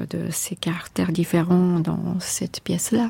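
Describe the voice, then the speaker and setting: A woman with a Japanese accent speaks at a very slow pace. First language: Japanese (speaking French). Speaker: composer. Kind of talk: interview. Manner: halting.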